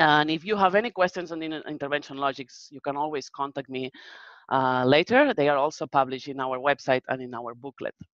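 A woman speaks in a Spanish accent with a very deep, low pitch at a fairly quick pace. Her loudness swings widely while her pitch varies in an ordinary way. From Spain. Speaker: research manager presenter. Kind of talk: webinar presentation with Q&A. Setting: video call webinar.

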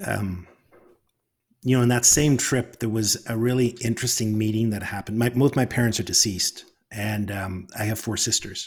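A man's somewhat breathy voice at a medium pitch, with fairly even intonation and a moderate pace. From Northern Ireland. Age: 50s. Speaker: author and storyteller. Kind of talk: casual interview conversation.

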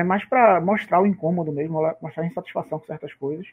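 A man with a high pitch talks fairly quickly while music plays in the background. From Brazil. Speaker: tennis betting tipster. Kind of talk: casual chat.

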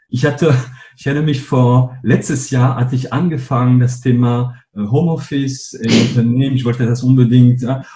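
A man's medium-pitched voice, monotone and flat in intonation, at a moderate pace. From northern France. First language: French (speaking German). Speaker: company co-founder and CEO. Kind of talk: interview.

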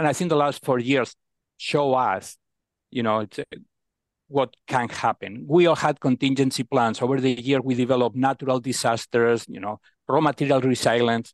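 A man's medium-pitched voice with fairly even intonation, dry and close with no echo. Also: moderate pace. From Spain. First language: Spanish. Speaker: procurement executive. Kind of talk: interview.

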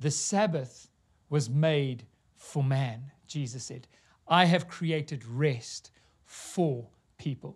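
A somewhat breathy man's voice at a fairly high pitch with ordinary pitch variation, very slow with long, frequent pauses, in a very clean recording with a silent background. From South Africa. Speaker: pastor. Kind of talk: sermon. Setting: church.

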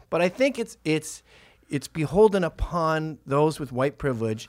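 On a very clean recording with a silent background, a man speaks with very wide pitch swings. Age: 40s. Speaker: podcast host. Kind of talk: casual comedic banter. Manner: joking, irreverent.

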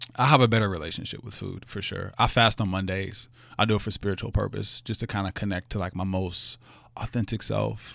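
A fairly low-pitched male voice with vocal fry, fairly even intonation and a fairly quick pace, on a very clean recording with a silent background. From Louisville, Kentucky (West End). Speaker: doctoral student. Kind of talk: casual interview.

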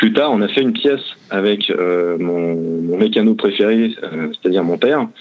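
This man's voice sits fairly low. He speaks at a moderate pace with ordinary pitch variation. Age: 30s. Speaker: motorcycle traveler. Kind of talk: interview. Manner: halting.

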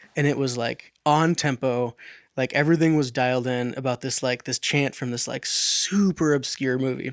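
A man with an unremarkable speaking voice talks at a moderate pace and medium pitch. His intonation is fairly even, and the sound is dry and close with no echo. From US Pacific Northwest. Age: 20s. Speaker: electronic music producer. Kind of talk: casual interview chat. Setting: studio.

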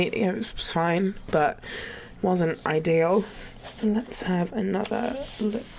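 A woman with an English accent at medium pitch, very slow pace, long and frequent pauses, and noticeable background noise. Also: ordinary pitch variation. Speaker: caller. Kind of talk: reading aloud. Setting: phone call.

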